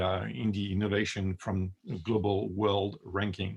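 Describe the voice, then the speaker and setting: A man with a French accent talks with vocal fry. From France. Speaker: product designer. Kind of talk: presentation. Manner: hesitant, many fillers.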